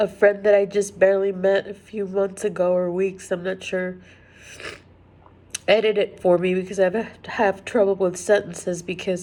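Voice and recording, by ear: At a moderate pace, a woman speaks at medium pitch with little pitch movement. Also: slightly mellow tone.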